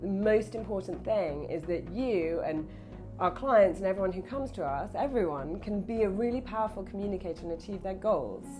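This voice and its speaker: Music plays in the background as a woman talks at a fairly quick pace. Her pitch is medium, with ordinary pitch variation. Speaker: speech coach. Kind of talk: interview answer.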